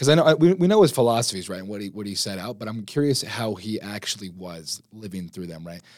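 Fairly low-pitched, a man talks very fast with hardly any pauses. His intonation is lively. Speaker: podcast host, college student. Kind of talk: casual chat.

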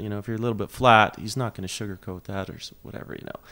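A man with a western Canadian accent and a fairly low pitch. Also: very clean recording, silent background. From Alberta, Canada (Lethbridge). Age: 30s. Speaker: pedal steel player and singer-songwriter. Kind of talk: casual interview chat.

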